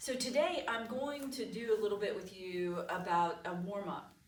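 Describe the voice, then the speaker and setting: There is noticeable background noise and audible room echo as a woman speaks at a fairly slow pace. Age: 60s. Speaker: yoga teacher. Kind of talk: guided yoga instruction.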